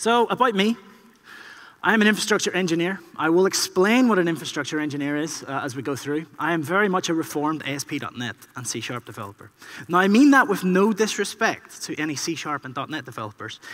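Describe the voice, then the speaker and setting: A man speaks very fast in a high pitch, with an Irish accent. His pitch swings very widely and his loudness rises and falls sharply. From Ireland. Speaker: infrastructure engineer, conference speaker. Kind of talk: keynote talk. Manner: conversational, frequent 'okay?' tags.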